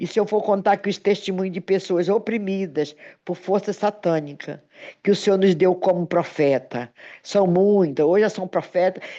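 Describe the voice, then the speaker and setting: At a moderate pace, a woman speaks in a medium pitch with ordinary pitch variation and a dark, mellow tone. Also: quiet background. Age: 60s. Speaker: pastor. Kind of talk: sermon with personal testimony.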